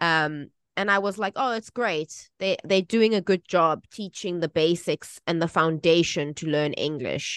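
A woman with a South African accent speaks at a fairly slow pace, with a fairly low pitch and ordinary pitch variation. She takes hardly any pauses, and the sound is dry and close with no echo against a quiet background. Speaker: English teacher and podcast co-host. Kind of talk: casual chat.

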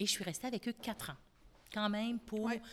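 A woman's somewhat breathy voice. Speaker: company founder. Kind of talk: interview.

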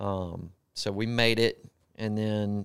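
Fairly low-pitched, a man speaks in a Southern accent with monotone, flat intonation. The recording is very clean, with a silent background. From US South, Gulfport, Mississippi. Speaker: truck driver, former sheriff's deputy. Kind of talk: podcast interview.

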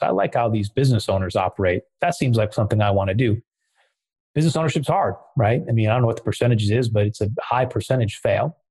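A somewhat breathy man with an American accent, very fast pace, and ordinary pitch variation. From US Midwest, West Michigan. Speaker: fintech entrepreneur. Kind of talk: casual interview.

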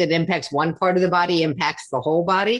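At a moderate pace against a quiet background, a woman speaks in a plain, everyday voice at a fairly low pitch. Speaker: podcast host. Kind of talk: interview conversation.

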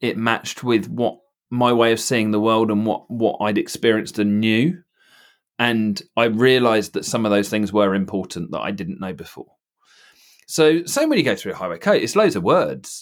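A man has an ordinary speaking voice, talking at medium pitch and a moderate pace with lively intonation. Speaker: theory test trainer and driving instructor. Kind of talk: casual chat. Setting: video call.

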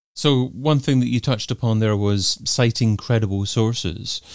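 With ordinary pitch variation, an ordinary speaking voice carries the words. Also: man. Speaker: podcast host. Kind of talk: interview.

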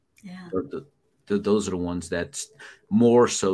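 With ordinary pitch variation and a moderate pace, a man talks in a very deep, low voice. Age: 40s. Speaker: founder of a school fathers' program. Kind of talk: interview about personal testimony. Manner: animated.

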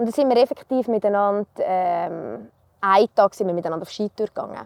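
An unremarkable speaking voice from a woman at a moderate pace, with ordinary pitch variation, in a very clean recording with a silent background and a dry, close sound with no echo. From Switzerland, canton Uri (Erstfeld). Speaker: mountain guide trainee. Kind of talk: casual interview. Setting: outdoors.

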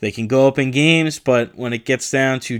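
This man has an ordinary speaking voice, pitched in the medium range. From New Jersey. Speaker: sports podcast host. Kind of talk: solo sports talk monologue. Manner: casual, with many fillers (uh, um).

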